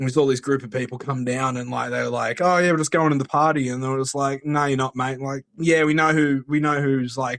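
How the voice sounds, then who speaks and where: Delivered with an Australian accent at a fairly quick pace, the speech has flat, monotone intonation. The sound is dry and close, without echo. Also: man. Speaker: caller. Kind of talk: voicemail anecdote.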